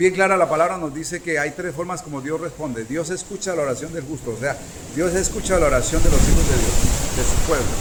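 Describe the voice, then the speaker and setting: A man talks at a fairly quick pace in a high voice. Audible room echo and noticeable background noise fill the recording. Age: 60s. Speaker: preacher. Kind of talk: sermon.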